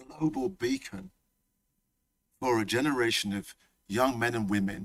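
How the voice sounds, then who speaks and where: With a Leicester accent, a man speaks at a fairly slow pace in an animated tone, medium pitch and ordinary pitch variation, dry and close with no echo. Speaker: college principal. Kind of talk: welcome speech. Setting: hall with live audience. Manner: animated, repetitive.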